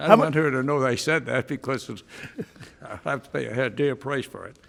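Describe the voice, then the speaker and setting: Speaking fairly quickly with an American accent, a man shows big swings in loudness and ordinary pitch variation. Noticeable background noise runs under his voice. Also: medium pitch for a man. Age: 80s+. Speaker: lawyer. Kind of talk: courtroom answer.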